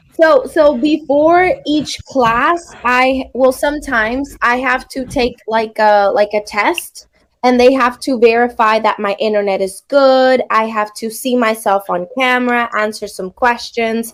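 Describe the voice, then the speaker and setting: A woman with a Spanish accent talks at a fairly slow pace in a high voice. She has hardly any pauses, and her pitch varies in an ordinary way. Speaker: online English teacher. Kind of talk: casual chat.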